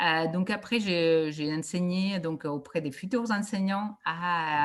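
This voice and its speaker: A woman's somewhat breathy voice at medium pitch. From Catalonia, Spain (Reus, near Barcelona). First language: Catalan or Spanish (speaking French). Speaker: education researcher. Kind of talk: conference talk. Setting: video call. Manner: hesitant, many fillers.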